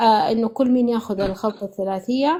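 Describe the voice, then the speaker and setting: Fairly high in pitch with ordinary pitch variation, a woman speaks at a moderate pace. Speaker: caller giving a testimonial. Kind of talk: testimony. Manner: halting, many false starts and fillers; switches to formal Arabic.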